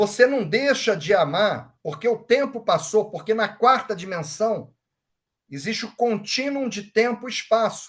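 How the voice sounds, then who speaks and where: A high-pitched man's voice, fairly slow in pace and lively in intonation. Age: 60s. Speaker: Reiki master. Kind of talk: lecture. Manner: casual.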